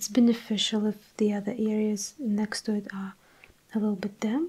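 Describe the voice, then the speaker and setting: Soft-spoken and somewhat breathy, a woman talks with a dark, mellow tone, a fairly high pitch and fairly even intonation. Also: moderate pace. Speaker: watercolour artist and art tutor. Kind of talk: instructional tutorial narration. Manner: soft-spoken, calm, relaxing.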